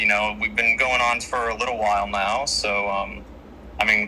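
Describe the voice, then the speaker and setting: With an American accent, a man speaks at a moderate pace against noticeable background noise. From United States. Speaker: debater arguing for the state. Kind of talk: debate. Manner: halting, many fillers.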